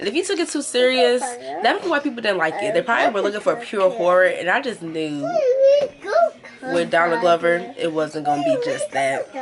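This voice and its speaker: Very wide pitch swings mark fairly quick speech heard over noticeable background noise. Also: woman, medium pitch for a woman. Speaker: beauty and movie review YouTuber. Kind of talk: casual vlog review while doing makeup. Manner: fast; animated.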